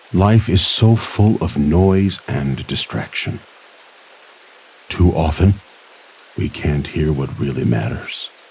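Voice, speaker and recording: Amid noticeable background noise, a man with a very deep, low pitch and lively intonation speaks at a very slow pace with long, frequent pauses. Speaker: narrator. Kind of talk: sleep story. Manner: soft-spoken, slow.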